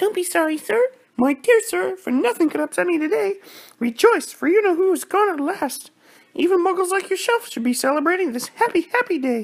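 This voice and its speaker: Squeaky and extremely high in pitch, a man's put-on character voice moves at a fairly quick pace. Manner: jubilant, delighted.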